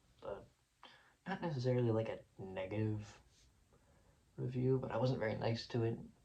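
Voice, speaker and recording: Somewhat breathy and dark, mellow in tone, a man speaks with fairly even intonation. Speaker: music reviewer YouTuber. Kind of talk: casual video vlog reflection. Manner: fast; hesitant, filler-heavy.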